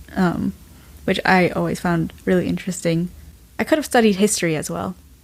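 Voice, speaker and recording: A woman speaks at a fairly quick pace. She has a General American accent. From US, Washington DC area. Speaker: graduate student. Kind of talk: casual chat.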